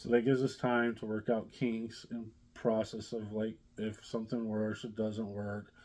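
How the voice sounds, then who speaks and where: A man with an American accent talks at a moderate pace in a fairly low pitch. It is an unremarkable speaking voice. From US Midwest, southern Indiana. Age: 40s. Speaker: vlogger, blue-collar worker; vlogger. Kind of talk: casual vlog chat. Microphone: phone near.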